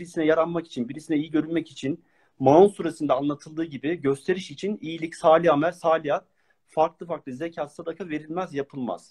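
This man has an ordinary speaking voice, fairly high in pitch, with ordinary pitch variation. He moves at a fairly quick pace, and the sound is dry and close with no echo. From Turkey, Ankara. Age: 40s. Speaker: Quran study speaker. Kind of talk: religious lecture. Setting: online live stream.

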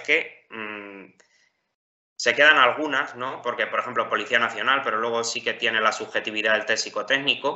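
A man's medium-pitched voice keeps fairly even intonation and a moderate pace. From Spain, Ciudad Real (La Mancha). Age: 20s. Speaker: top-scoring civil service exam candidate. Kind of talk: interview. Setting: call. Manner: hesitant, with repetitions.

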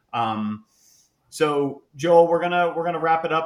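A man speaks with an American accent at a moderate pace. He has a normal speaking voice with ordinary pitch variation. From Sarasota, Florida.

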